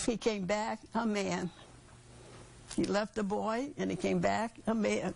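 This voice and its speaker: Here a woman speaks at a very slow pace. She pauses long and often. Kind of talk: interview answer.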